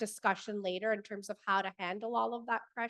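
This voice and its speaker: Her medium-pitched voice keeps fairly even intonation as this woman speaks. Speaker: family lawyer. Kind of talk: panel discussion. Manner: loud.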